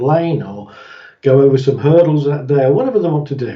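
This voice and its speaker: A man with a British accent sounds somewhat breathy. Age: 60s. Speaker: therapist. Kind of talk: interview.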